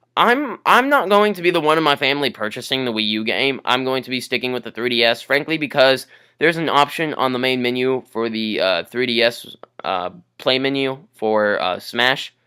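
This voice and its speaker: At a moderate pace, a man speaks at medium pitch with ordinary pitch variation in a plain, everyday voice. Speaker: gaming YouTuber. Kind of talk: casual gaming commentary.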